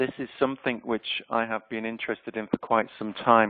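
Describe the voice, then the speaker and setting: A man with a slight Yorkshire accent, at a fairly quick pace. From Yorkshire, northern England. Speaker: HR consultant and researcher. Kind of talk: webinar presentation. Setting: online webinar. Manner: hesitant, many fillers.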